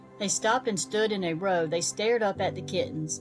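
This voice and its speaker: A woman talks at a moderate pace. Background music can be heard behind her. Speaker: children's book narrator. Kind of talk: children's storybook reading.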